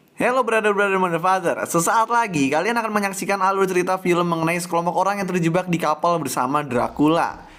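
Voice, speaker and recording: Very fast delivery with hardly any pauses, ordinary pitch variation and very even loudness, over noticeable background noise. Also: man, high pitch for a man. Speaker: movie recap narrator. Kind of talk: casual film plot recap narration. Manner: soft-spoken, lowered voice; relaxed, laid-back.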